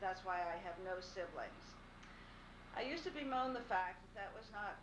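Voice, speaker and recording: Noticeable noise lies beneath a woman speaking at a moderate speed, her pitch varying in an ordinary way. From Pittsburgh, Pennsylvania. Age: 60s. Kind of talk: recorded farewell message read to camera.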